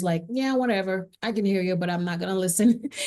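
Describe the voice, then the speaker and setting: A woman's medium-pitched voice, dark and mellow in tone, in a Haitian accent. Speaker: singer. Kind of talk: interview testimony.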